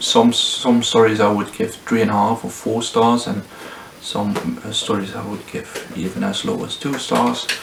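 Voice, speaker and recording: The man talks at a moderate pace. Noticeable background noise is present throughout. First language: not English. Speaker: booktuber. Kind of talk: casual book review vlog. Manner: hesitant, many fillers.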